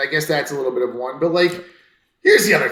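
Someone with an American accent talks with very wide pitch swings in audible room echo. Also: man. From US East Coast. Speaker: podcast co-host. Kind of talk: casual chat.

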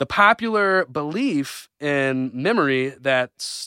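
Very clean, with a silent background and a dry, close sound with no echo, the recording captures a man's fairly high-pitched voice and bright, sharp tone. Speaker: podcast co-host. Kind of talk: casual chat.

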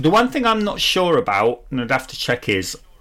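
With a British accent, this voice moves at a fairly quick pace. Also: man. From United Kingdom. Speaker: gaming podcast co-host. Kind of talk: casual chat.

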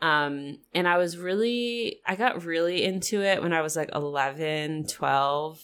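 In a very clean recording with a silent background, a woman with an unremarkable speaking voice and a fairly low pitch speaks at a fairly slow pace with hardly any pauses, very even loudness and ordinary pitch variation. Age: 30s. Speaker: astrologer. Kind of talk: casual chat.

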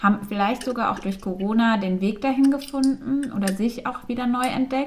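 Noticeable background noise surrounds a woman with a high voice. She speaks at a moderate pace with ordinary pitch variation and hardly any pauses. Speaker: podcast co-host. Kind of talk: casual chat. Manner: frequent filler sounds.

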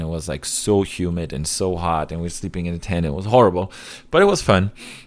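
With a German accent, a man talks very fast in a very deep, low voice with fairly even intonation. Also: very clean recording, silent background. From Germany, Cologne area. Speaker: airsoft YouTuber and photography student. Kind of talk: podcast interview.

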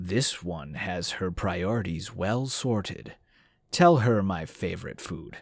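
A man's put-on character voice, very deep and low, at a fairly slow pace on a very clean recording with a silent background. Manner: smug.

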